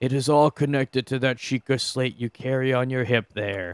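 Putting on a character voice, a man talks at a moderate pace with a medium pitch. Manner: acting in the character's voice.

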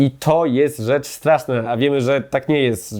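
A man speaks at a medium pitch. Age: 30s. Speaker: political commentator. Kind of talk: opinion monologue. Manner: animated.

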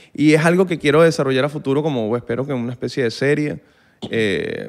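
With a Venezuelan accent, a man talks at a very fast pace. His pitch varies an ordinary amount, and the background is quiet. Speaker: musician and content creator; content creator. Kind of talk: casual chat. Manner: animated. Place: studio. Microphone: studio mic.

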